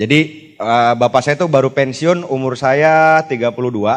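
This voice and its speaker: A man speaks at a moderate pace, his intonation fairly even. It is an ordinary speaking voice, medium in pitch. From Jakarta, Indonesia. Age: 30s. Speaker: motivational speaker, network marketing leader. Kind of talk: motivational talk to live audience. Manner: casual, conversational.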